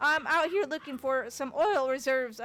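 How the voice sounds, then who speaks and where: A woman's put-on character voice in a Southern accent, raised and projected, high in pitch, at a moderate pace. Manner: loud.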